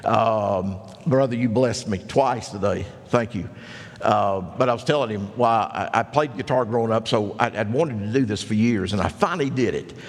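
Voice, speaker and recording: Against noticeable background noise, a man speaks at medium pitch and a moderate pace with ordinary pitch variation. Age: 60s. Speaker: pastor. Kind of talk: sermon. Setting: church.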